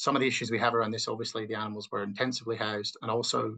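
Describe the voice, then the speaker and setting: With an Australian accent, a man talks at a very fast pace in a bright, sharp tone and a monotone, flat intonation. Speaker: agricultural researcher. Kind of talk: webinar presentation. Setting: online webinar.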